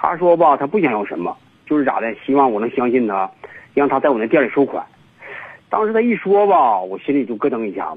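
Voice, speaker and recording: Fairly quick speech from a man at medium pitch, with very wide pitch swings and noticeable background noise. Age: 50s. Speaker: caller with a relationship problem. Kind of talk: phone-in call. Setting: phone call. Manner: halting, many fillers.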